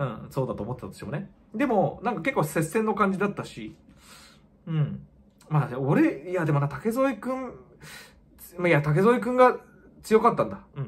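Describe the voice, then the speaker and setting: A man speaks in a high voice at a moderate pace, with very wide pitch swings and big swings in loudness. Long, frequent pauses break up his speech. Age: 40s. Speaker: kickboxer. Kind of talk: casual vlog monologue. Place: home room.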